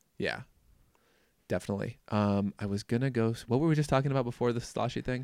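A man's medium-pitched voice with ordinary pitch variation at a very fast pace, on a very clean recording with a silent background. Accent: American. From Minnesota, US Upper Midwest. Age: 20s. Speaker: podcast host. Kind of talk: casual interview chat.

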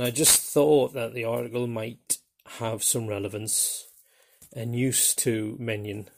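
With a Geordie accent, a man speaks at a medium pitch in a monotone, flat intonation, captured in a very clean recording with a silent background. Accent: Geordie, coarse. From northeast England (Newcastle area). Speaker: podcast host, tabletop role-playing gamer. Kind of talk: solo podcast monologue. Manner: hesitant, many fillers.

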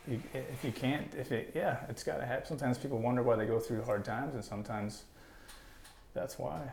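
Speaking very fast with an American accent, a man at medium pitch sounds somewhat breathy, with ordinary pitch variation and audible room echo. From northern Wisconsin. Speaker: entrepreneur, gutter business owner. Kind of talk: casual interview.

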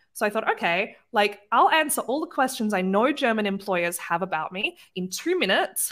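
A woman with an Australian accent speaks at a moderate pace with hardly any pauses, her fairly high voice making very wide pitch swings. The recording is very clean, with a silent background.

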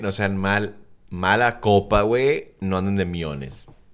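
Fairly slow and fairly low in pitch, a man talks in an unremarkable speaking voice with ordinary pitch variation. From South Texas, US-Mexico border. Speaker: podcast co-host. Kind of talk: casual chat.

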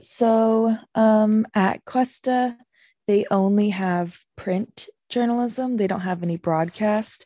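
At a very slow pace, a woman with an American accent speaks in a fairly high pitch and a dark, mellow tone. The sound is dry and close with no echo, over a quiet background. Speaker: journalism student and broadcast reporter. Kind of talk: interview. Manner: animated.

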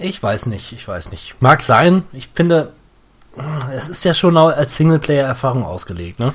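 A man's fairly high voice at a fairly slow pace, with very wide pitch swings and big swings in loudness. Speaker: video game podcast host. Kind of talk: casual chat. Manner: occasional fumbling over words.

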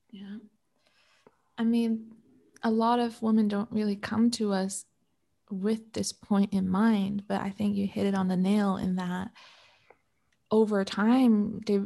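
A woman with a Canadian accent speaks in a dark, mellow, somewhat breathy voice of medium pitch, flat and monotone. She talks at a fairly slow pace on a very clean recording with a silent background. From Canada. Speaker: relationship coach. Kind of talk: interview.

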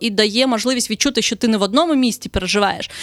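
Very fast and high-pitched, a woman's voice comes through with a dry, close sound and no echo. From southern Ukraine. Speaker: travel blogger. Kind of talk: casual interview.

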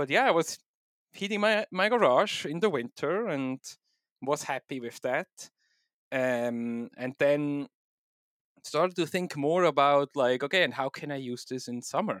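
A man with a Swiss German accent speaks at a fairly high pitch and a fairly slow pace, with long, frequent pauses. The sound is dry and close with no echo, on a very clean recording with a silent background. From Switzerland. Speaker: software developer and home miner. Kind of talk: casual technical interview.

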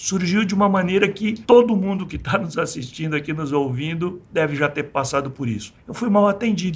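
A man speaks at a fairly quick clip with a high pitch. His intonation is lively, and he hardly pauses. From Brazil, rural interior of São Paulo state. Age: 60s. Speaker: engineer and entrepreneur. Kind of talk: interview.

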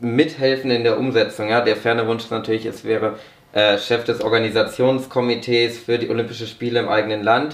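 A man at a fairly quick pace with monotone, flat intonation, amid noticeable background noise and audible room echo. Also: medium pitch for a man. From northern Germany (Braunschweig, Lower Saxony). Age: 20s. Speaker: young politician and sports management graduate. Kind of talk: podcast interview.

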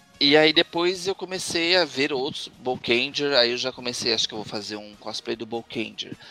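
Over music in the background, a man talks at a moderate pace and medium pitch with lively intonation, big swings in loudness and hardly any pauses. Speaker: tokusatsu website host and cosplayer. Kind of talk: casual chat. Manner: animated.

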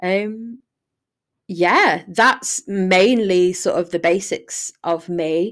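A woman with a Yorkshire accent speaks at a very slow pace with a medium pitch and ordinary pitch variation. The recording is very clean with a silent background. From northern England, Sheffield. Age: 20s. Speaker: podcaster, university student. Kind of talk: casual solo monologue. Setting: living room at home.

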